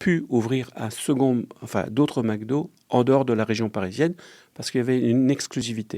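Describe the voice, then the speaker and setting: A man of medium pitch with a dark, mellow tone at a moderate pace, on a very clean recording with a silent background. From Lorraine, eastern France. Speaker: restaurant franchise owner, entrepreneur. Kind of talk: interview.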